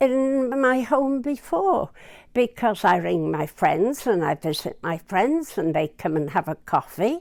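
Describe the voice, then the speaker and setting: A woman, fairly high in pitch with very wide pitch swings, at a fairly slow pace on a very clean recording with a silent background. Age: 80s+. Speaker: care housing resident. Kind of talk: testimonial interview.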